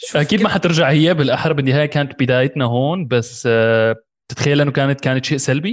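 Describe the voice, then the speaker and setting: This man talks at a very fast pace with hardly any pauses, using a fairly high pitch, ordinary pitch variation and very even loudness. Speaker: podcast host. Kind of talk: casual interview.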